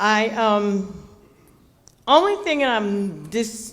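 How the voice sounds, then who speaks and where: Audible room echo surrounds the voice. A woman speaks at a fairly high pitch. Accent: American. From Newark, New Jersey. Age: 70s. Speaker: community resident speaking at public meeting. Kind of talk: public comment at community meeting. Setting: public meeting hall with audience, microphone.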